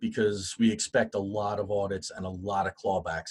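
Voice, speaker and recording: A man with a fairly low pitch and a somewhat breathy voice talks at a moderate pace. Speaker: guest speaker on HR and unemployment. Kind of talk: webinar presentation. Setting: online webinar.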